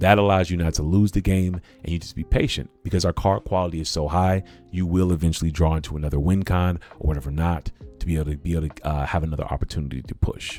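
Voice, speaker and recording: The speech comes at a very fast pace in an animated tone. Music plays in the background. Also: man, very deep, low pitch for a man. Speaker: cEDH content creator and streamer. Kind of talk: livestream deck tech. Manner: casual, animated.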